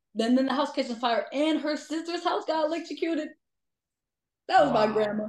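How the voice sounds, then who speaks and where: The speaker moves at a fairly quick pace but leaves long, frequent pauses. Pitch varies in an ordinary way. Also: woman, high pitch for a woman. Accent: Chicago. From Chicago suburbs, Illinois. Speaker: ghost investigator. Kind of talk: casual chat.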